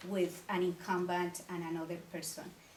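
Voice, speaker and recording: With a Colombian accent, a woman speaks at medium pitch amid noticeable background noise and audible room echo. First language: Spanish. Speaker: city council member and mayoral candidate. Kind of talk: candidate forum speech. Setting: community meeting with audience.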